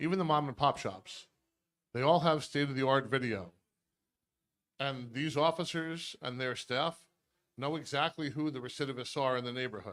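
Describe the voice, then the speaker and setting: Over a silent background on a very clean recording, a man speaks at a moderate pace with ordinary pitch variation and long, frequent pauses. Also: fairly high pitch for a man. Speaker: prosecutor. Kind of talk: community meeting presentation. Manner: loud.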